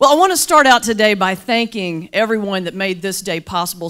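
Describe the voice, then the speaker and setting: With a Southern US accent, a woman talks at a fairly quick pace in a bright, sharp, animated tone at medium pitch, her voice making very wide pitch swings. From US South, mountains of North Carolina. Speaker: Baptist minister and motivational speaker. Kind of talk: keynote speech with humor. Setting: luncheon stage with audience.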